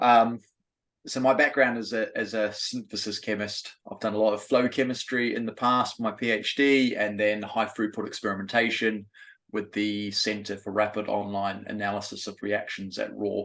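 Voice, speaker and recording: Flat, monotone intonation marks this man's fairly low voice. He speaks at a moderate pace over a quiet background. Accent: New Zealand. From New Zealand. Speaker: synthesis chemist and program manager. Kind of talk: self-introduction in a webinar.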